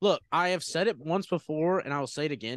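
A man talks at a fairly quick pace in a fairly high voice with lively intonation. The sound is dry and close with no echo, over a quiet background. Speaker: sports podcast co-host. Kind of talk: pep talk, rallying and hyped up. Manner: animated, enthusiastic.

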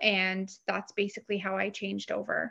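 A woman with a Canadian accent speaks with vocal fry. The background is quiet. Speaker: realtor and real estate team leader. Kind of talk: interview.

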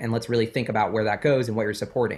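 His voice is somewhat breathy. The recording is very clean, with a silent background. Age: 20s. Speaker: finance YouTuber and investor. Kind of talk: casual interview chat. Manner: animated.

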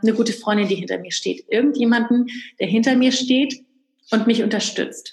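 A woman speaks in a fairly high pitch. Her voice is somewhat breathy. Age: 30s. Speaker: entrepreneur and business coach. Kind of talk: interview.

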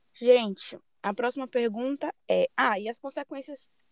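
A woman with an unremarkable speaking voice, pitched fairly high, with ordinary pitch variation. The sound is dry and close, with no echo. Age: 20s. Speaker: journalism student podcast host. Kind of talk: casual chat.

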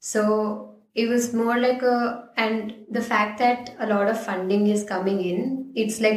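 A woman talks at a fairly slow pace. Room echo is audible. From India, Ahmedabad (Gujarat). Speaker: designer, design master's student. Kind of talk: casual interview.

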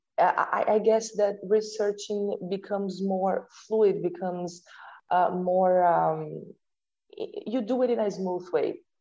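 In a Portuguese accent, a woman speaks very slowly at medium pitch, her tone dark and mellow and her intonation fairly even. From Brazil. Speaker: sport psychology researcher. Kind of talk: interview. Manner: halting.

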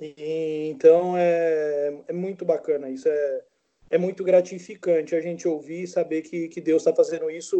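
A man speaks at a fairly slow pace. His pitch is high for a man. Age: 40s. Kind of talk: casual chat. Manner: halting.

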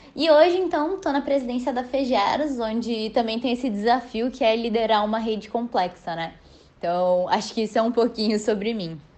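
A woman with a plain, everyday voice, fairly high pitch, lively intonation and a moderate pace. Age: 20s. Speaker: business student and federation president. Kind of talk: podcast interview.

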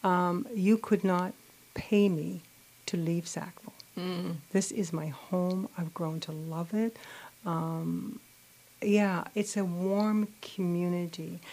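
Soft-spoken and at a very slow pace, a woman talks with a fairly low pitch and fairly even intonation. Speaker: political candidate. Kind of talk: radio interview. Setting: studio.

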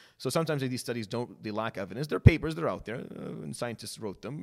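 A man's very fast speech with vocal fry in a very clean recording over a silent background. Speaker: medical oncologist and imam. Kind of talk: casual interview.

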